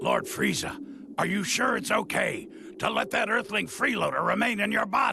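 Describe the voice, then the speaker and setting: Putting on a raspy character voice at an extremely high pitch, a man talks at a moderate pace over clear background noise. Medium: video game. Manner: theatrical, eager.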